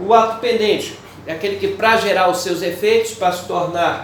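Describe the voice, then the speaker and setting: Recorded with noticeable background noise and audible room echo, a man speaks at a high pitch with fairly even intonation. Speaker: law teacher. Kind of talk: lecture.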